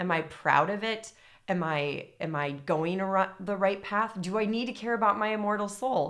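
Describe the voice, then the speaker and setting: Here is a plain, everyday voice from a woman at medium pitch. She moves at a moderate pace with ordinary pitch variation. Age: 30s. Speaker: former teacher, stay-at-home mother. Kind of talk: casual book discussion.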